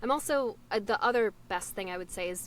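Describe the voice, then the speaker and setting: A woman speaks in a normal speaking voice at a moderate pace, her pitch fairly high and her intonation lively. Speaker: voice actor. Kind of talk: casual chat.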